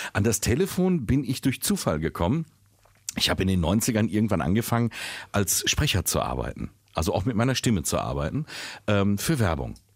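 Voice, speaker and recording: A man's fairly low voice with vocal fry, very wide pitch swings, very even loudness and long, frequent pauses, on a very clean recording with a silent background. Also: moderate pace. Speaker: podcast co-host and voice-over artist. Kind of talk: casual chat.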